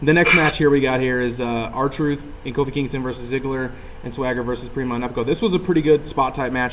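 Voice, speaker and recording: A man speaks at a very fast pace and medium pitch. His intonation stays fairly even against noticeable background noise. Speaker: wrestling show reviewer. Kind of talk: casual chat. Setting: video call.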